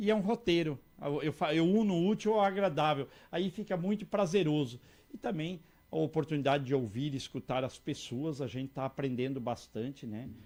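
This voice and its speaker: This man has a fairly high pitch and lively intonation in an ordinary speaking voice. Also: moderate pace. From Santa Catarina, Brazil. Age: 60s. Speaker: politician. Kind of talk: interview. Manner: repetitive false starts.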